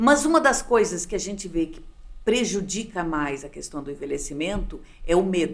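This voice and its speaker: At a moderate pace, a woman speaks with very wide pitch swings and big swings in loudness. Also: medium pitch for a woman. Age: 60s. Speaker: sociologist and gerontologist. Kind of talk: interview. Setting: studio.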